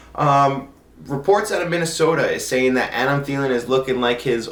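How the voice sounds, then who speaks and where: Here a man talks at a fairly quick pace. Noticeable background noise and audible room echo are present. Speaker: fantasy football podcast host. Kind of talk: solo podcast commentary. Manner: monotone; usually loud.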